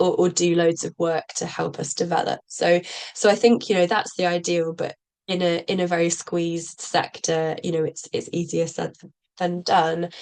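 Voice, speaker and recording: A woman speaks with a British accent at a moderate pace. Her pitch is fairly low and her intonation monotone and flat. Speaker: social co-op practitioner. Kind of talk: presentation. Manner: halting, many fillers.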